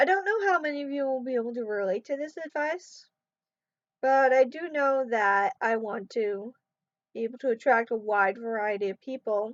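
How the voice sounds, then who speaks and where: A high-pitched woman with lively intonation, in a dry, close sound with no echo and a quiet background. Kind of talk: casual advice vlog. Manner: deliberately controlled pace.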